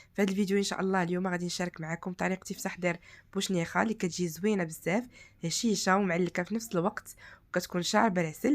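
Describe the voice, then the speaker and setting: A woman talks at a very fast pace with a medium pitch. The recording is very clean, the background silent. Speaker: cooking channel host. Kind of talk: cooking tutorial.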